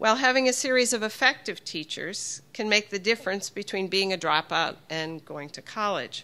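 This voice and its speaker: Her tone bright and sharp, a woman talks at a moderate pace. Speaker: invited professor speaker. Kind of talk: lecture. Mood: warm, light humor. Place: hall. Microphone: podium.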